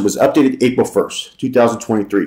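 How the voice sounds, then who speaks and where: The background stays quiet while the man speaks. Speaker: commentary vlogger. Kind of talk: reads article aloud with commentary. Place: home room. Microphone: webcam.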